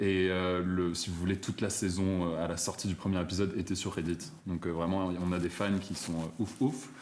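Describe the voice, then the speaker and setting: Speaking at a moderate pace with hardly any pauses, a man uses a very deep, low pitch and fairly even intonation. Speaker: drag performer. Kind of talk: casual chat.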